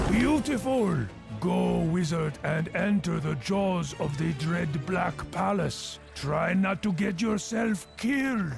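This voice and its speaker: A cartoonish character voice speaks at a fairly slow pace over clear music in the background. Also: man, high pitch for a man. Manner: sly, theatrical.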